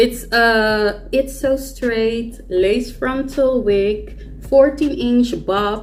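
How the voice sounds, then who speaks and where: Fairly high-pitched speech from a woman at a very slow pace with ordinary pitch variation. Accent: Dutch. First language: Dutch. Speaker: beauty YouTuber. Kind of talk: tutorial. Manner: casual, chatty.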